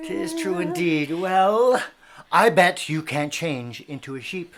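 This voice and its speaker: In a put-on character voice, a woman speaks fairly slowly at a fairly low pitch. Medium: stage play. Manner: teasing, mock-amazed.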